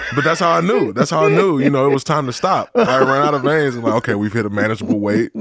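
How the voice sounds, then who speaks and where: With an American accent, this voice moves at a very fast pace with lively intonation over noticeable background noise. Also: man. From US Midwest, Detroit. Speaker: former NFL player. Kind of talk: casual chat.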